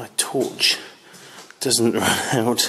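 A man is speaking. Light background noise sits behind him. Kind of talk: casual exploration commentary. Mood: slightly nervous, hushed. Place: tunnel cave. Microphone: phone near.

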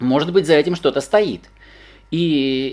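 A man speaks at a fairly slow pace. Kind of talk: casual explanatory talk.

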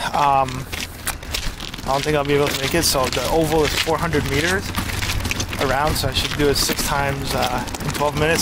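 Loud background noise surrounds a man speaking at a very fast pace. The sound is dry, with no echo. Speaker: vlogger. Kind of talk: casual vlog chat. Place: open country. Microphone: phone near.

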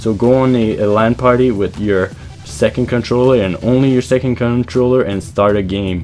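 Music plays in the background as the voice moves through ordinary pitch variation. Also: man. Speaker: gaming video creator. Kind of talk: video game tutorial voiceover.

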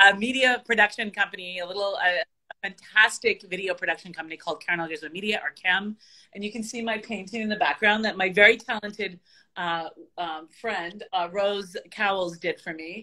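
The tone is bright and sharp, with fairly even intonation. Delivery is at a fairly quick pace over a quiet background. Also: woman. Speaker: remote guest. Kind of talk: interview answer. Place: home room. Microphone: video call.

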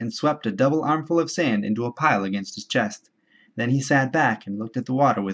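Intonation is lively in this plain reading aloud. Nothing much is heard behind it.

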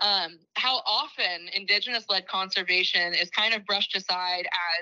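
An ordinary speaking voice from a woman, medium in pitch, at a fairly slow pace with ordinary pitch variation. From Six Nations of the Grand River, Ontario, Canada. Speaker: nonprofit executive director. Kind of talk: lecture.

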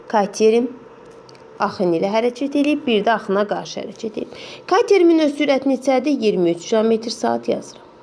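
A woman speaks at a moderate pace with a fairly high pitch and lively intonation. Noticeable background noise runs underneath. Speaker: math teacher. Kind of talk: tutorial.

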